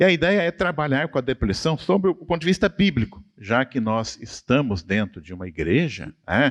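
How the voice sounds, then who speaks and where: Over a quiet background with a dry, close sound and no echo, a man talks at a moderate pace with hardly any pauses, a fairly high pitch, very wide pitch swings and vocal fry. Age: 60s. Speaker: professor. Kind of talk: church study conversation. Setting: church.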